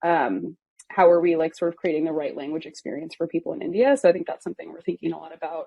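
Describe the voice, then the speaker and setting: This woman speaks in a fairly low voice. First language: German. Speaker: product localization manager. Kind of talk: interview. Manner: casual, hesitant with fillers.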